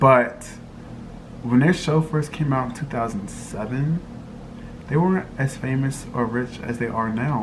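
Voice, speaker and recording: A man's medium-pitched voice with ordinary pitch variation at a moderate pace, amid audible room echo and noticeable background noise. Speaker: lifestyle vlogger. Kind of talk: casual vlog monologue.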